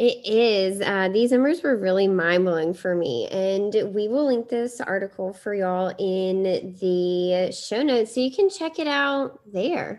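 A woman with a medium pitch has an ordinary speaking voice. She talks at a fairly slow pace with lively intonation and hardly any pauses. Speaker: podcast co-host. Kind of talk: casual chat.

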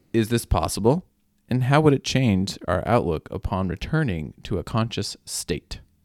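In a dry, close sound with no echo, a man's voice shows vocal fry and very wide pitch swings at a moderate pace. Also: medium pitch for a man, very clean recording, silent background. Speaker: podcast co-host. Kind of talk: casual banter, Q&A.

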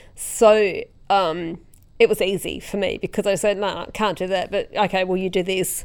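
On a very clean recording with a silent background, a woman with an Australian accent speaks at a moderate pace and medium pitch in a monotone, flat intonation. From South Australia, rural Tatiara district. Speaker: road safety organisation CEO. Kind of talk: interview conversation. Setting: studio, quiet room.

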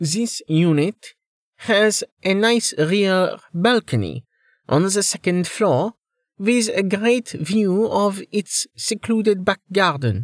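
In a put-on character voice, a man speaks slowly at a high pitch with lively intonation. The sound is dry and close, without echo.

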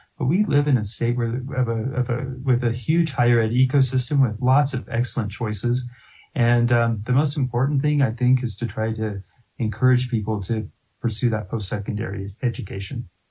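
A man with a General American accent, medium-pitched and somewhat breathy, dark and mellow in tone, at a moderate pace with fairly even intonation. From Colorado, Littleton. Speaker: university president, former state legislator. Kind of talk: interview.

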